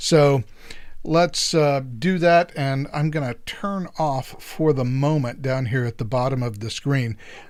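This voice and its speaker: On a very clean recording with a silent background, a man with a fairly high pitch uses a normal speaking voice and ordinary pitch variation. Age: 60s. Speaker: political podcast host. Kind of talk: casual solo podcast talk. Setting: live stream.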